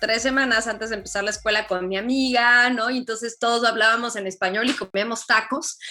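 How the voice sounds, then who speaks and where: With music playing behind her, a woman in a Mexican accent talks at a fairly quick pace in a fairly high pitch. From Mexico. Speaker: journalist. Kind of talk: interview.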